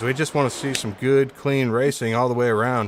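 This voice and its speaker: An ordinary speaking voice at a moderate pace. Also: man. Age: 40s. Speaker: sim racing commentator. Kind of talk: live commentary. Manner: casual.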